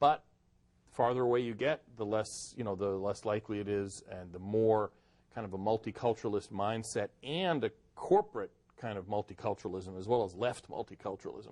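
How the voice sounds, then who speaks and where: With an American accent and an ordinary speaking voice, a man talks at a fairly quick pace and fairly low pitch, with ordinary pitch variation, big swings in loudness, and a dry, close sound with no echo. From US Northeast (Boston and Cleveland). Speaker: author and immigration policy advocate. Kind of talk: interview.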